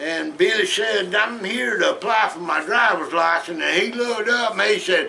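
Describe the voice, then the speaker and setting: Projecting a raised voice with a Southern US accent, a man speaks high-pitched at a fairly slow pace. Noticeable background noise and audible room echo fill the recording. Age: 70s. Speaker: storyteller. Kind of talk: casual storytelling. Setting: at home in den. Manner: folksy, halting.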